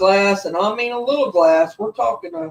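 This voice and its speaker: Lively intonation in a slight Southern US accent. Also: woman. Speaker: paranormal channel host. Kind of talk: casual chat.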